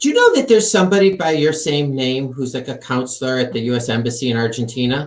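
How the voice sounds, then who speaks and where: Very fast speech with hardly any pauses and ordinary pitch variation, over music in the background. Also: man, medium pitch for a man. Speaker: podcast host. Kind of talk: interview.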